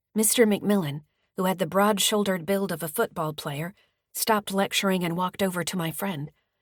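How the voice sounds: The background is quiet, and the natural reading voice shows ordinary pitch variation.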